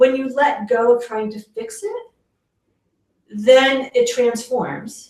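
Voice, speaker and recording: A woman with a New York accent speaks very slowly at a high pitch, her ordinary pitch variation paired with big swings in loudness and long, frequent pauses. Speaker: parenting educator. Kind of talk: interview on parenting.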